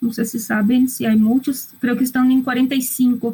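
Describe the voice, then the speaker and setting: Speaking at a fairly slow pace, a woman has a high pitch and a non-native accent. Her intonation is monotone and flat. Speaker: psychologist and medical school lecturer. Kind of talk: online lecture. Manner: halting, with hesitations and repetitions.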